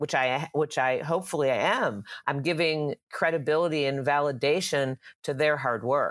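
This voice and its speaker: A woman with an American accent speaks at a moderate pace in a very deep, low voice with ordinary pitch variation. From Texas, Dallas. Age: 60s. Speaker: medical cannabis company co-founder. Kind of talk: interview.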